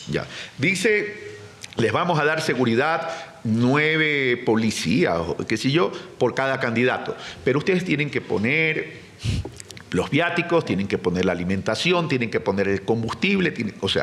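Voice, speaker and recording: Over noticeable background noise, a man with a fairly high pitch speaks at a fairly slow pace, his pitch swinging very widely while his loudness stays very even. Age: 60s. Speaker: presidential candidate. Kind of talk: interview.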